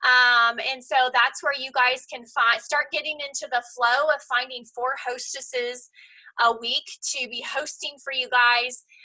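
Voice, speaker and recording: Raised and projected, a woman's voice comes through with a high pitch and a bright, sharp tone. She speaks at a fairly slow pace with monotone, flat intonation. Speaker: team leader of a direct sales business. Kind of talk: team meeting on video call.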